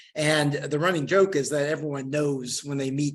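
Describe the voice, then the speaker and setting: A man with a strong Oklahoma accent speaks at a fairly high pitch. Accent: Oklahoma (Okie) accent, strong. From Western Oklahoma, US. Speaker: historian and geography professor. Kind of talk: lecture with audience Q&A. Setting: lecture room with live audience, also streamed on video call. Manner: halting, many fillers and repeated words.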